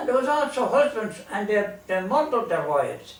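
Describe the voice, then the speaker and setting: This man speaks with a Limerick accent at a moderate pace. His voice is high, with very wide pitch swings. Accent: Irish, Limerick. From Ireland. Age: 80s+. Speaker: storyteller. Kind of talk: humorous storytelling to an audience.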